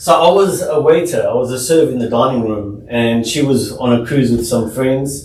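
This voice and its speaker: A man with a South African accent is heard with noticeable background noise and audible room echo. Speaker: home inspector, business owner. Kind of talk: podcast interview. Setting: studio.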